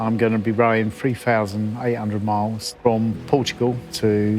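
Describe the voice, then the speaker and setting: Over noticeable background noise, a man with an English accent speaks at a moderate pace in a fairly low, monotone, flat voice. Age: 60s. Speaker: roofer and adventurer. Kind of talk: documentary interview.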